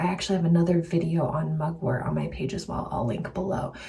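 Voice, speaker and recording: The speaker is soft-spoken. Audible room echo surrounds the voice. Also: woman. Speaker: herbalist and health coach vlogger. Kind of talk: casual vlog talk.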